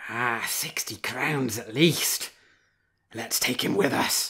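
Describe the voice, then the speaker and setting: Raspy and very slow, a man uses a put-on character voice at medium pitch. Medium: read story.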